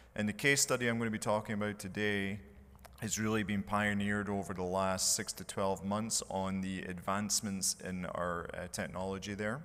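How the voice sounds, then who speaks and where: With a Scottish accent, a man talks at a fairly low pitch with ordinary pitch variation. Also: moderate pace. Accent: Scottish accent, noticeable. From Scotland. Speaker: mechanical engineer, conference speaker. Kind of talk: conference presentation.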